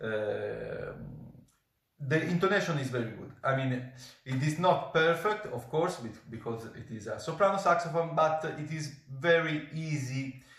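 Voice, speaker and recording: Speaking at a fairly slow pace with an Italian accent, a man shows ordinary pitch variation amid audible room echo. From Italy. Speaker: professional saxophonist. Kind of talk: product review. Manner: halting, many fillers.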